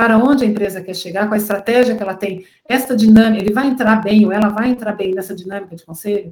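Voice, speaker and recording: At a very fast pace, a somewhat breathy woman speaks with a fairly high pitch, fairly even intonation and big swings in loudness. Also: hardly any pauses. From Brazil, Curitiba. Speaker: venture capital investor. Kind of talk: interview, explanatory.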